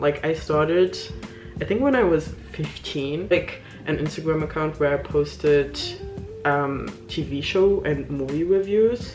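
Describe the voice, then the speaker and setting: Music plays behind a woman with a non-native accent, and the room echo is audible. She speaks fairly slowly in a very deep, low voice. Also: ordinary pitch variation. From Luxembourg. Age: 20s. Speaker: beauty vlogger. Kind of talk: casual chat. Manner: casual, hesitant with fillers.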